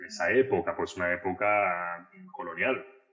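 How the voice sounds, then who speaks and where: The man talks at a moderate pace, and background noise is noticeable throughout. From Argentina. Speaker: translator and literature scholar. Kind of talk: podcast interview.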